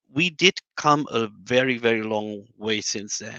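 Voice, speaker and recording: With a German accent, this man talks at a medium pitch in a bright, sharp tone, recorded dry and close with no echo over a quiet background. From Germany. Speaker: modeling and simulation scientist. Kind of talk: panel discussion. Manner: hesitant, many fillers.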